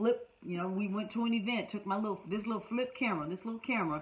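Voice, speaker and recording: A woman with a Southern US accent speaks in an animated tone at medium pitch, using ordinary pitch variation. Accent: Southern US, sounds country. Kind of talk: online class, motivational teaching. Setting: online class.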